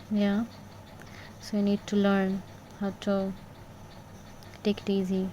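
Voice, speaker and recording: A soft-spoken woman talks fairly slowly with long, frequent pauses, her medium-pitched voice dark, mellow and somewhat breathy. Her intonation is flat and monotone, and her loudness stays very even. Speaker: tarot reader. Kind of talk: tarot reading. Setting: bedroom at night.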